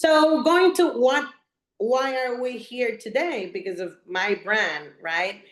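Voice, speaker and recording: Talking at a fairly slow pace, a woman with a Puerto Rican accent uses lively intonation. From Puerto Rico, west side. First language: Spanish. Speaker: real estate agent and business coach. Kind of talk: presentation. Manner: slightly halting, self-correcting.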